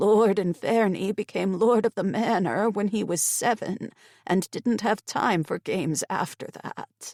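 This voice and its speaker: A female-sounding voice at a medium pitch puts on a character voice. The recording is very clean, with a silent background. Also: fairly slow pace. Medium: read story. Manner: deferential, addresses master as my lord.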